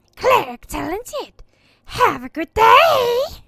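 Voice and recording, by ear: A loud, shouting put-on character voice at an extremely high pitch and a fairly slow pace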